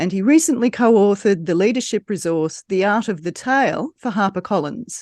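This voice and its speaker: Lively intonation and a moderate pace mark this voice with an Australian accent, captured with a dry, close sound with no echo over a quiet background. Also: woman. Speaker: podcast host. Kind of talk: scripted guest introduction.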